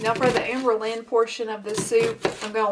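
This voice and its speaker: This woman speaks with a Kentucky accent at a fairly quick pace. Noticeable background noise runs under her voice. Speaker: cooking vlogger. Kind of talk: cooking tutorial. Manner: casual, with filler words.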